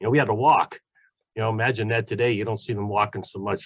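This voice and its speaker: A somewhat breathy man's voice, dry and close with no echo, over a quiet background. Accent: Pittsburgh. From Pittsburgh, western Pennsylvania. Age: 60s. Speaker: community college automotive professor. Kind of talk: panel talk. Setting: webinar.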